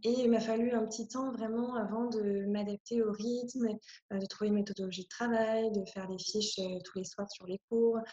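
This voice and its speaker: Moderate pace and fairly even intonation in a woman's fairly high, somewhat breathy voice. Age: 20s. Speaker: speech therapist and lecturer. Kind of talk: interview. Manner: hesitant, many fillers.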